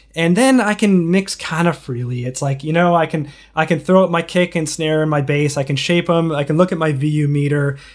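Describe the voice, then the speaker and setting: A man talks fast with hardly any pauses, his pitch fairly high and its variation ordinary. He has an American accent and keeps a fairly quick pace. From Chicago, US Midwest. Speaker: record producer and mixer. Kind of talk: casual interview chat. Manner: halting, many fillers and repeats.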